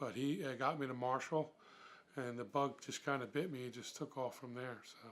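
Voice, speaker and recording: With an American accent, a man speaks in a plain, everyday voice at medium pitch and moderate pace, with fairly even intonation and big swings in loudness. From Philadelphia. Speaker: mummers club member. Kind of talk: documentary interview.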